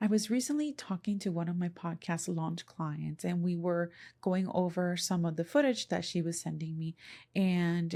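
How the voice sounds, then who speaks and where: A woman's somewhat breathy voice at medium pitch with a Spanish accent, moderate in pace with ordinary pitch variation, on a very clean recording with a silent background. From Puerto Rico. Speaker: podcast and content creation coach. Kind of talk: solo podcast talk. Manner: conversational.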